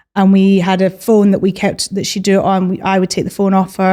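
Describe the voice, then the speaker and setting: Speaking with a Scottish accent, a woman has a medium pitch and a dark, mellow tone. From Scotland, Edinburgh. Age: 30s. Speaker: magazine editor and journalist. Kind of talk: podcast interview.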